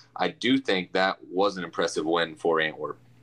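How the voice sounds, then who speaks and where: A man speaks with a very deep, low pitch at a moderate pace. His intonation stays fairly even over noticeable background noise. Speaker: sports podcast co-host. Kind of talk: casual sports podcast chat. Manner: hesitant, repeats words.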